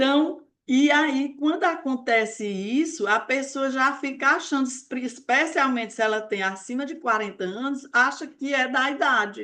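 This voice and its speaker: A woman projects her raised voice at a high pitch, bright and sharp in tone. She goes at a fairly slow pace with ordinary pitch variation against a quiet background. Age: 60s. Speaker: weight-loss mentor. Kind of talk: live online talk. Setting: live stream.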